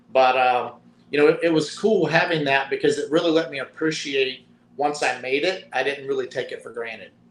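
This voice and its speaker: Noticeable background noise sits behind a man's voice. He has a strong Southern Appalachian accent and a fairly high pitch. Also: ordinary pitch variation. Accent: Southern Appalachian drawl, strong. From US South, mountains of Virginia. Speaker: retired football player. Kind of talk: interview.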